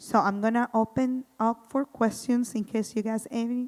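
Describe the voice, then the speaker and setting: A woman speaks with a strong Spanish accent. The recording is very clean with a silent background, the sound dry and close with no echo. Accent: thick Spanish. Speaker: housing program coordinator. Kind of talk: community presentation.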